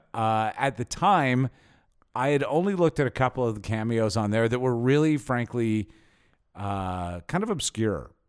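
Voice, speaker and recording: A man with a plain, everyday voice at medium pitch speaks at a moderate pace with lively intonation, recorded very cleanly with a silent background and a dry, close sound with no echo. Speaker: podcast host. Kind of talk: casual chat.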